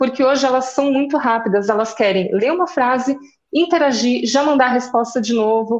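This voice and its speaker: This woman speaks with a Rio Grande do Sul accent in a high pitch, with ordinary pitch variation and very even loudness. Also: moderate pace. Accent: southern Brazilian (gaúcho) accent noticeable. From Rio Grande do Sul, Caxias do Sul. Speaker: journalist, social media strategist. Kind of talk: interview.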